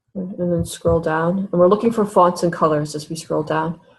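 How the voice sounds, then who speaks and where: Music plays in the background as a woman speaks at a fairly low pitch. Her pitch varies in an ordinary way. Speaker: webinar presenter. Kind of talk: tutorial. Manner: fast.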